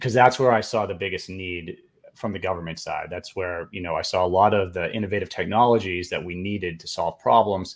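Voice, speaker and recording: A man's very deep, low voice at a fairly quick pace, with ordinary pitch variation, on a very clean recording over a silent background. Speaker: government contracting consultant, Air Force veteran. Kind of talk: podcast interview.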